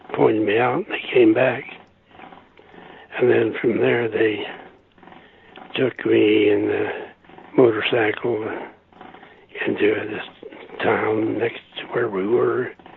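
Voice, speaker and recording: A man talks at a very slow pace with long, frequent pauses. Noticeable background noise is present. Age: 80s+. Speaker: war veteran. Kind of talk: interview answer.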